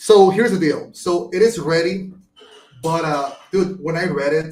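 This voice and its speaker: A man with a high voice and a Venezuelan accent talks at a fairly slow pace with ordinary pitch variation. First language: Spanish. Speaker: marketing agency owner. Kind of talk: podcast interview answer.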